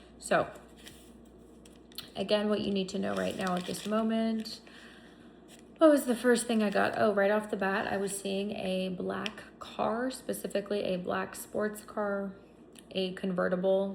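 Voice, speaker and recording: Over noticeable background noise and audible room echo, a woman at a medium pitch speaks at a fairly slow pace with fairly even intonation and long, frequent pauses. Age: 30s. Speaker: psychic reader. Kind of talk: tarot reading monologue.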